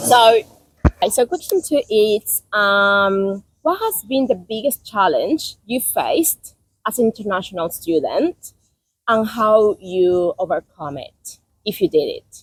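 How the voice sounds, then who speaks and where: A woman with a Spanish accent and fairly high pitch speaks at a fairly slow pace, with very wide pitch swings, big swings in loudness and a dry, close sound with no echo. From South America. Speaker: podcast host, international student. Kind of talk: casual interview.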